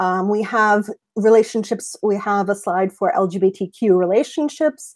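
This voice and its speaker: A woman with an ordinary speaking voice talks at medium pitch and a moderate pace with ordinary pitch variation, in a very clean recording with a silent background and a dry, close sound with no echo. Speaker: mental health professional presenter. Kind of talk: lecture.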